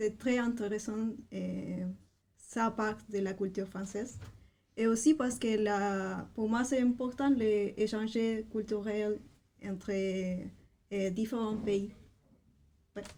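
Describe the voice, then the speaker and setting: With a Spanish accent, a woman speaks at a very slow pace in a fairly high, somewhat breathy voice with a dark, mellow tone, flat monotone intonation and long, frequent pauses. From Chile. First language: Spanish (speaking French). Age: 20s. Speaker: language assistant. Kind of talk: interview. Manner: halting, many hesitations.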